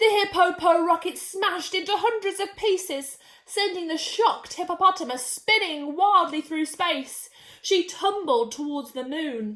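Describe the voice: With few pauses and a fairly slow pace, a woman speaks at an extremely high pitch in a bright, sharp tone with ordinary pitch variation.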